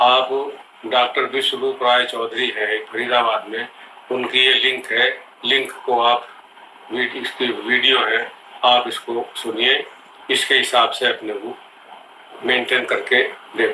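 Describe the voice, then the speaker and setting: A man's voice with long, frequent pauses and noticeable background noise. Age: 70s. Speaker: patient giving testimonial. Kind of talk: testimony.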